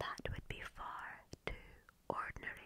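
Someone whispers at a fairly slow pace. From Scotland. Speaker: ASMR creator. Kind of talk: ASMR whisper video. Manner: whispered. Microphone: studio mic.

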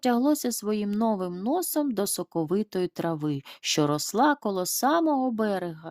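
Intonation runs lively in this natural reading voice.

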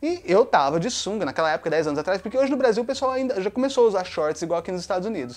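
A man with a Brazilian accent talks at a high pitch with very wide pitch swings. He goes at a very fast pace with hardly any pauses. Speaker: YouTuber. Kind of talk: casual monologue. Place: home room.

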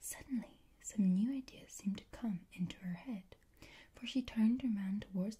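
The reading aloud is plain, and the pitch shifts in an ordinary way.

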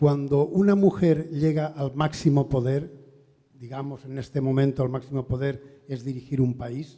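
Dark, mellow tone from a man, quiet background. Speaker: audience member. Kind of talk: audience question at seminar. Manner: halting. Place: hall. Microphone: handheld.

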